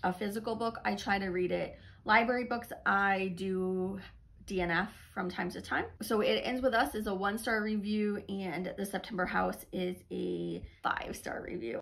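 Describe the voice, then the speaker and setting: Fairly slow speech from a woman. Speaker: book reviewer. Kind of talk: casual vlog chat. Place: home room. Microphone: phone near.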